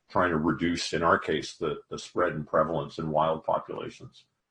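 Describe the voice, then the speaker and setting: A somewhat breathy man with a very deep, low pitch at a fairly quick pace. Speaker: economics professor. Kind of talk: academic seminar talk. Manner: fast.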